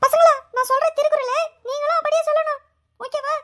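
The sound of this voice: A woman's cartoonish character voice, squeaky and extremely high-pitched, at a moderate pace with fairly even intonation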